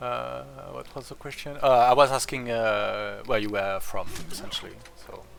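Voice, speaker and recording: A man with a French accent speaks at a moderate pace, his loudness swinging widely. Noticeable background noise and audible room echo fill the recording. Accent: French accent, usually easily identified. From France. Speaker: strategy game streamer. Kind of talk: casual gameplay commentary. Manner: hesitant, many fillers.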